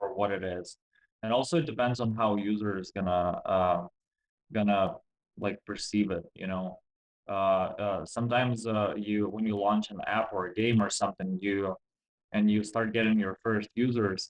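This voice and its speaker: Speaking at a fairly low pitch with a non-native accent, a man keeps a moderate pace and fairly even intonation, broken by long, frequent pauses. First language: not English. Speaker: game developer. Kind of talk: interview. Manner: halting.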